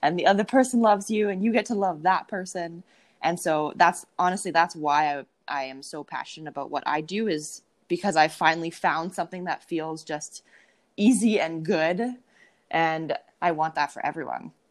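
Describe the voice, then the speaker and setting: An unremarkable speaking voice from a woman, fairly low in pitch, with a Canadian accent, ordinary pitch variation and a moderate pace on a very clean recording with a silent background. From Canada, Winnipeg, Manitoba. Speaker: dating and mindset coach. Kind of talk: casual interview chat.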